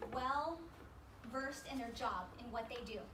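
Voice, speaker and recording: The speech moves at a moderate pace with ordinary pitch variation, set against audible room echo and noticeable background noise. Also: woman. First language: Spanish. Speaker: motivational speaker. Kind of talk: workshop talk to audience. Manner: animated, conversational.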